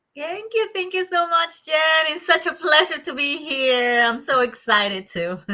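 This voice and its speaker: Over noticeable background noise, a woman with a Colombian accent projects a raised, high-pitched voice at a moderate pace, with very wide pitch swings. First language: Spanish. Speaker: procrastination coach and psychologist. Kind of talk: interview podcast.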